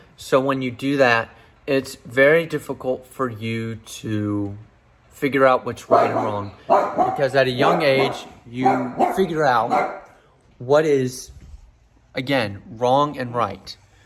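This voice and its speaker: Over noticeable background noise, a man talks at a very slow pace with a medium pitch and ordinary pitch variation. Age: 20s. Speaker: vlogger. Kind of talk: personal monologue to camera. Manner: unscripted, halting with restarts.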